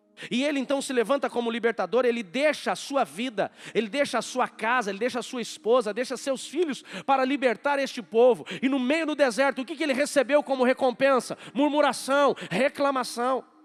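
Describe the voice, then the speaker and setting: A man speaks at a fairly quick pace in an extremely high pitch, with ordinary pitch variation and hardly any pauses. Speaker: pastor. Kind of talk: sermon. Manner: fast.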